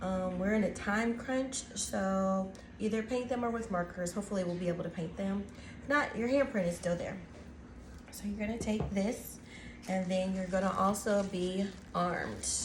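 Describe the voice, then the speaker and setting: Soft-spoken at medium pitch, a woman talks at a moderate pace with ordinary pitch variation, amid noticeable background noise and audible room echo. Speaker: teacher and craft video host. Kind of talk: tutorial. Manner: soft-spoken, talking quietly; casual, filler-heavy.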